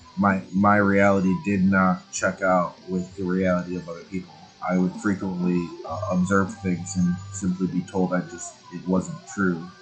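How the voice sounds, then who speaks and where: A man's very deep, low voice in a flat monotone at a moderate pace, hardly any pauses, and music in the background. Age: 30s. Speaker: vlogger. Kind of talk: personal monologue. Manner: halting.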